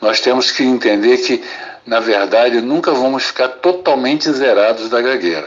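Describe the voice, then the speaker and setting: With noticeable background noise behind him, a man speaks in a medium pitch with lively intonation. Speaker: psychiatrist. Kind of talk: testimony. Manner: slow, paced.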